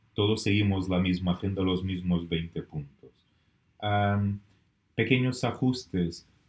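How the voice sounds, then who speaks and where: At a very slow pace, a man with a non-native accent talks at a fairly low pitch with ordinary pitch variation. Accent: foreign, non-Spanish. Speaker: business networking director. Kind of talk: podcast interview. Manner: halting, with fillers.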